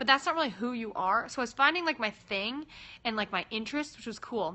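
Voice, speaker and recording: A woman with an American accent talks at a very fast pace with lively intonation. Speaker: singer livestreaming to fans. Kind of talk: casual live-stream chat. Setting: at home in her room.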